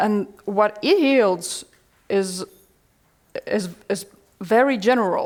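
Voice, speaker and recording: Over a quiet background, a woman at a medium pitch speaks at a very slow pace with ordinary pitch variation and long, frequent pauses. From Latvia. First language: Latvian. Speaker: workshop presenter; presenter. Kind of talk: answering audience question. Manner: halting, repeats words. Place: classroom. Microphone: headset.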